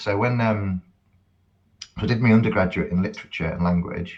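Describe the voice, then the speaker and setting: A man speaking fairly quickly sounds somewhat breathy, with a fairly low pitch that varies in an ordinary way. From northern England, Cheshire. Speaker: academic and musician. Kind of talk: podcast interview.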